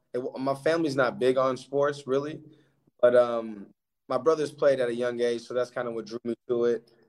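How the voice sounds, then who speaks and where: A man has an unremarkable speaking voice at medium pitch. He keeps a moderate pace and fairly even intonation. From Alaska, Anchorage. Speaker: professional basketball player. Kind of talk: interview.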